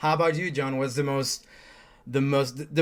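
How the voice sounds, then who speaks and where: Speech comes with a Spanish accent. The background is silent, and the recording is very clean. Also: man. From Chile. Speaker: MMA interviewer. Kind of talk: interview.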